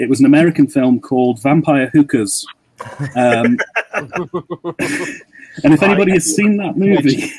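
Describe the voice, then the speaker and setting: A British accent is heard here. The speaker is a man. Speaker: podcast guest, horror YouTuber. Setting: online call.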